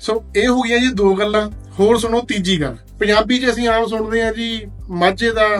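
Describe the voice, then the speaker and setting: Music plays in the background. A man speaks over it. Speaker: audiobook platform host. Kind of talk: promotional talk to camera.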